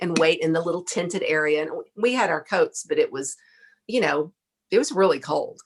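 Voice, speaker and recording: A woman speaks in a Texan accent with lively intonation. Her pitch is fairly low and her pace moderate. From Texas. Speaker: podcast guest, former saleswoman. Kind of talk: casual interview storytelling. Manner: animated.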